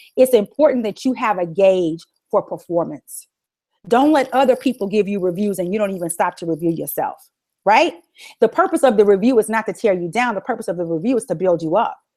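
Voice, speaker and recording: In an American accent, a woman with a medium pitch speaks at a fairly quick pace, her tone animated and her intonation lively. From Texas. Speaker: motivational speaker, former lawyer. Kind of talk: motivational webinar talk. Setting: online webinar.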